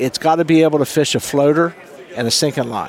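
Against noticeable background noise, a man with an American accent speaks with ordinary pitch variation. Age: 50s. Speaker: fishing guide. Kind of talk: casual interview.

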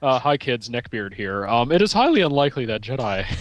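Putting on a nasal character voice, a man speaks at a medium pitch and a moderate pace with lively intonation. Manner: smug, nasal, pedantic.

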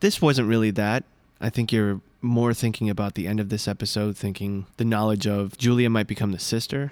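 Over a very clean, silent background, a man speaks in an ordinary speaking voice at a fairly quick pace. His pitch is fairly low and his intonation fairly even. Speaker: podcast host. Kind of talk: casual podcast episode review.

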